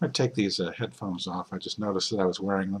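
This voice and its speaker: A man speaks with a fairly low pitch. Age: 60s. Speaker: author and health commentator. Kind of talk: video monologue. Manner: halting, many fillers.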